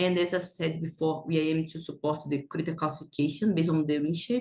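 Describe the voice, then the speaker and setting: The speaker has a non-native accent. The pace is very fast. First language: not English. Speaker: planetary science researcher. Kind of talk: conference presentation. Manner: halting, many fillers.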